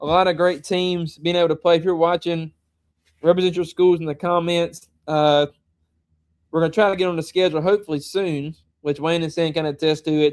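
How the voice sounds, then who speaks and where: The voice moves at a fairly quick pace in a flat, monotone delivery. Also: man, high pitch for a man. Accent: Southern US. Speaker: high school football show host. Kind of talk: casual chat.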